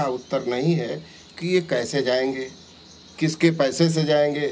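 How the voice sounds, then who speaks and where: This man has a fairly high pitch and fairly even intonation in a plain, everyday voice. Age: 60s. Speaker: opposition politician. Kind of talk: interview.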